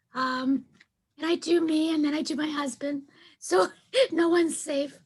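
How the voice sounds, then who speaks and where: A woman with a breathy voice speaks at a moderate pace and a high pitch. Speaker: client recovering from vocal cord paralysis. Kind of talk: casual chat. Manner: sing-song, up and down.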